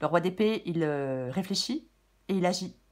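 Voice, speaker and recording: A woman's voice is heard. It carries a somewhat breathy quality. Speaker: tarot reader. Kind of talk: tarot reading. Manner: hesitant, many fillers.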